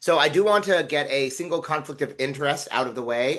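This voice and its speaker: Bright and sharp, a man's voice sits at a fairly high pitch. He talks at a fairly quick pace with lively intonation. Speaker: physician and AI researcher. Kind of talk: webinar lecture. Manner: fast.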